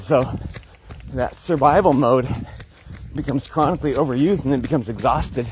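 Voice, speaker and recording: With an American accent, a man speaks fairly quickly at a fairly high pitch with ordinary pitch variation. Room echo is audible, and there is noticeable background noise. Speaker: wellness vlogger. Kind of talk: casual vlog talk. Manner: fast.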